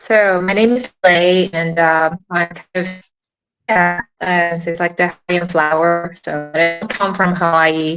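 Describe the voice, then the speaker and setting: Over music in the background, a woman with a slight Singaporean accent talks at a fairly slow pace, her pitch fairly low. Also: fairly even intonation. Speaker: tech product marketer. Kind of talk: interview.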